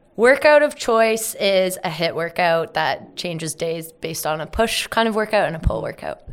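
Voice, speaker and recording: A woman with an Ontario accent, medium pitch and lively intonation, moving at a moderate pace with hardly any pauses. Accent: Canadian (Ontario). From Ontario, Canada (Carlisle, near Hamilton). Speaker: media company co-founder. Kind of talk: interview. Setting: studio in Toronto.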